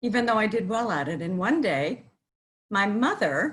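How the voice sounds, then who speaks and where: At a moderate pace, a woman with an American accent sounds somewhat breathy. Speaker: cantor. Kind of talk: interview. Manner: hesitant, many fillers.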